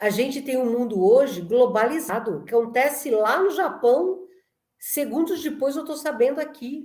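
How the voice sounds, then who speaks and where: A woman's high, animated voice with lively intonation at a moderate pace. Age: 60s. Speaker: lecturer on spirituality. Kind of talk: conference talk.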